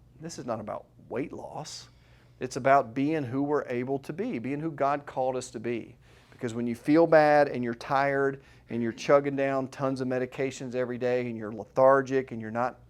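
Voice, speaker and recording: In a very clean recording with a silent background, a man speaks at a moderate pace and medium pitch. He has an ordinary speaking voice with fairly even intonation. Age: 40s. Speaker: chiropractor running a weight-loss workshop. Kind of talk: workshop presentation with sales pitch. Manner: casual, conversational.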